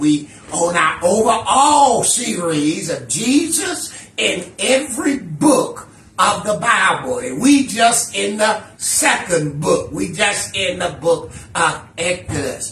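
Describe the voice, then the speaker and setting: A man at a very slow pace, with audible room echo and light background noise. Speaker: minister teaching Bible study. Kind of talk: lecture. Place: home room. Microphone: camera far.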